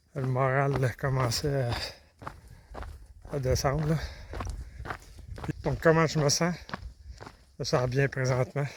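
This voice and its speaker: The man speaks with fairly high pitch and fairly even intonation. His pace is very slow, with long, frequent pauses. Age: 60s. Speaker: long-distance hiker vlogger. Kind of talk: video diary. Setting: outdoors. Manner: halting.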